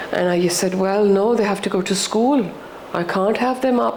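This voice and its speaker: Noticeable background noise and audible room echo fill the recording. The speaker has a Pakistani accent. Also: woman. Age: 60s. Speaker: podcast guest, widowed mother. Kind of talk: personal interview conversation. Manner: halting, with false starts.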